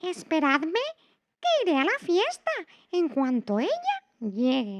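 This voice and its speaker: In a put-on, squeaky character voice, a woman talks at a fairly slow pace with extremely high pitch and very wide pitch swings. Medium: read story.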